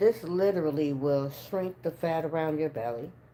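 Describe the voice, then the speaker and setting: In a very deep, low pitch with a dark, mellow tone, a woman talks at a moderate pace with ordinary pitch variation. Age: 60s. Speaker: spiritual energy reader and livestreamer. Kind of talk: casual livestream chat. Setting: livestream. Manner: animated.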